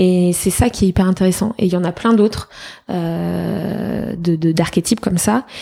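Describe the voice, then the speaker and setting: Over noticeable background noise, a woman talks at a moderate pace with a fairly low pitch and ordinary pitch variation. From France, Fontainebleau near Paris. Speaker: entrepreneur. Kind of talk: interview. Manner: energetic.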